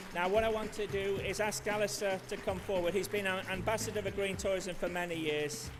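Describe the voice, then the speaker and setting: Over noticeable background noise and audible room echo, a man with a Manchester accent talks at a fairly quick pace in a high pitch with fairly even intonation. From Manchester, England. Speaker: conference host. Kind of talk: awards ceremony speech.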